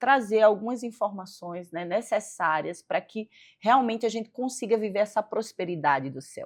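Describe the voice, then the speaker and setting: In a very clean recording with a silent background, a woman with a strong northeastern Brazilian accent speaks at a fairly high pitch with lively intonation. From Northeast Brazil. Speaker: physiotherapist. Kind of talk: faith interview chat.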